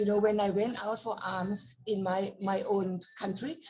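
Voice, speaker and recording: At a fairly slow pace, a woman with a fairly high pitch speaks over noticeable background noise. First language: Thai. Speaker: Buddhist nun. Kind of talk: casual conversation.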